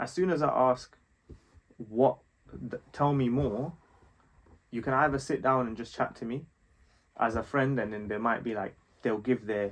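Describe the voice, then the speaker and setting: A man at a moderate pace with a London accent, medium pitch, ordinary pitch variation, and long, frequent pauses. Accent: London multicultural English. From West London, England. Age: 20s. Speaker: fashion designer and strategist. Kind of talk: casual chat.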